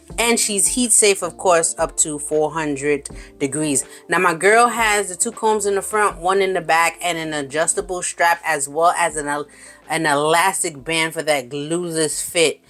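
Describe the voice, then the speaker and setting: Music plays in the background as a woman speaks at a moderate pace. Her tone is animated, her pitch fairly low, with ordinary pitch variation. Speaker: wig reviewer, beauty vlogger. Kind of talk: product review vlog. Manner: loud.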